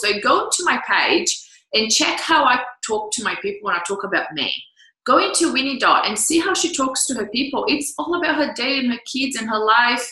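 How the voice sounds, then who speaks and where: A high-pitched woman at a fairly quick pace, with very wide pitch swings. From Brazil. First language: Portuguese. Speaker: business coach. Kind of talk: online coaching talk. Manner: animated.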